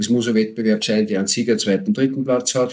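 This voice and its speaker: A man with an ordinary speaking voice talks at medium pitch, his intonation fairly even. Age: 50s. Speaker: homebrewer and beer association board member. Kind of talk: casual chat.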